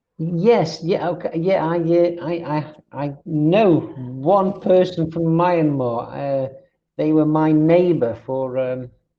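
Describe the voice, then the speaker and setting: A man with a fairly high pitch, speaking at a very slow pace. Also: ordinary pitch variation. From England, Stoke-on-Trent (Midlands). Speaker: online English tutor. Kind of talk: casual chat. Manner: halting, many fillers.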